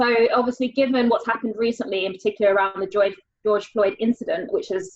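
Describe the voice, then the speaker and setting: Talking at a very fast pace, a woman with a British accent keeps a fairly high pitch and fairly even intonation. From England. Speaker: panel host. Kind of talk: panel discussion.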